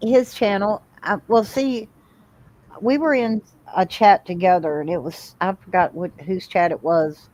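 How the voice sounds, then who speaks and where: Using a normal speaking voice, a woman talks at a fairly slow pace with a medium pitch and lively intonation. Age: 60s. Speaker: livestream guest. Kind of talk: casual chat.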